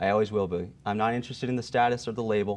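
A man talks at a very fast pace with an American accent. His intonation stays fairly even. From Pennsylvania, Allentown area; Pennsylvania. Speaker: political candidate; candidate. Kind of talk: political debate; interview answer. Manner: halting, many fillers. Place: studio. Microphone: lapel.

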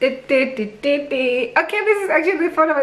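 A woman projects her voice at a high pitch, speaking at a very slow pace. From South Africa. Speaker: YouTuber. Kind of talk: unboxing video. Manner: animated. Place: home room. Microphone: phone near.

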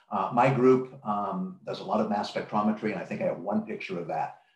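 Audible room echo follows a man as he talks at a fairly quick pace. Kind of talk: lecture. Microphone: webcam.

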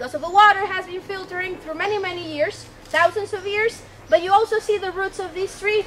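A raised, projected voice at a fairly quick pace, with ordinary pitch variation over light background noise. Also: woman. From Mexico. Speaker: tour guide. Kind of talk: guided tour narration. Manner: animated. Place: forest.

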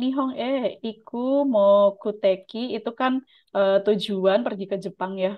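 A woman speaks very slowly in a fairly high voice with ordinary pitch variation. The background is quiet. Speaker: Japanese language teacher and YouTube channel host. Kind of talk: tutorial with mock interview. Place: home room. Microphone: video call.

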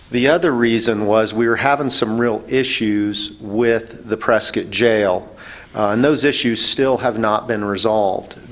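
Speaking at a very slow pace, a man keeps his intonation fairly even. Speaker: panelist. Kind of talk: public forum explanation. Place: meeting room. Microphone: podium.

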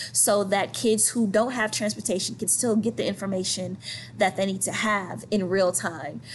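A woman with an American accent sounds somewhat breathy over light background noise. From US South (St. Petersburg, Florida); US South. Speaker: high school art teacher; art teacher. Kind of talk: recorded presentation. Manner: casual, conversational. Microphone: webcam.

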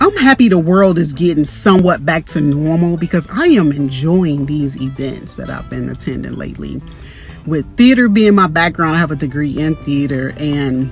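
A woman with a very deep, low pitch speaks at a moderate pace with ordinary pitch variation, in a dry sound with no echo and faint music in the background. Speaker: vlogger. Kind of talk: casual vlog chat. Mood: upbeat, reflective. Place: car. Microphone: phone near.

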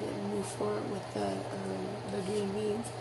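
A woman at a moderate pace amid loud background noise. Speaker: home cook vlogger. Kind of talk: casual cooking tutorial. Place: kitchen. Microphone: phone near.

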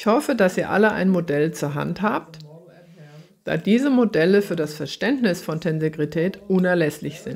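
A woman's fairly low voice with lively intonation, at a moderate pace. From Germany. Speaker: horse trainer and author giving a talk; lecturer. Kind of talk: lecture; recorded lecture. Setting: online event. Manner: formal. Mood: calm, earnest.

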